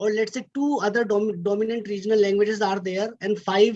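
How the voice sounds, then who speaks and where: Speech comes at a fairly quick pace in an Indian accent. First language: Hindi. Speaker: academic speaker. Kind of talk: lecture. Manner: halting.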